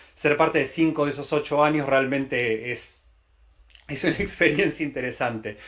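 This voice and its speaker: With a Latin American accent, a man speaks at a fairly quick pace, his pitch fairly high and his intonation fairly even. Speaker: tech company director. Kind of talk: conference talk. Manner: hesitant with many fillers.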